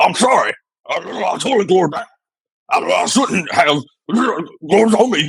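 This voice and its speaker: A man puts on a character voice, pitched high. He keeps a moderate pace, broken by long, frequent pauses. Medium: audio drama. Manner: touchy, indignant.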